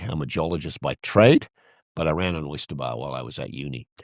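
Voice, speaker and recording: A man with a very deep, low pitch and vocal fry at a very fast pace, with ordinary pitch variation, a dry, close sound with no echo, and a very clean recording with a silent background. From Peru, Andes, British expatriate family. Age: 70s. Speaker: oyster bar owner. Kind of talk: casual chat.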